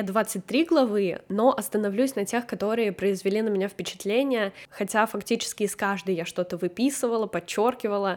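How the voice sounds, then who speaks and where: A woman with a plain, everyday voice speaks at a moderate pace with fairly high pitch, ordinary pitch variation and hardly any pauses. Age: 20s. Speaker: podcast host, book club organizer. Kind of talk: solo book review podcast.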